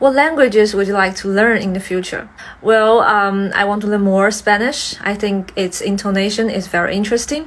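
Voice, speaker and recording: Through noticeable background noise, a woman with a Mandarin accent speaks at medium pitch and a moderate pace with ordinary pitch variation. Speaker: language learner. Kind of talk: exam practice answers.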